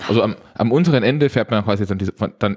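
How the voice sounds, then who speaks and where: Against a quiet background, a man talks very fast in a fairly low pitch with ordinary variation, the sound dry and close with no echo. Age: 20s. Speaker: theme park podcast host. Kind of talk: casual chat. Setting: studio.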